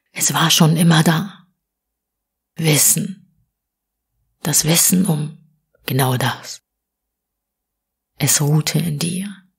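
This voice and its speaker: Speaking at a very slow pace with long, frequent pauses, a woman uses a gentle, somewhat breathy tone, a fairly low pitch and fairly even intonation. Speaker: audiobook reader. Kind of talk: spiritual poetry reading, short audiobook. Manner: soft, whispery, gentle.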